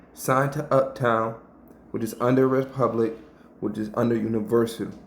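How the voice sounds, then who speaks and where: Audible room echo surrounds a man speaking at medium pitch. His tone is animated and his pace moderate. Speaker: YouTube commentator. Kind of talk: commentary breakdown.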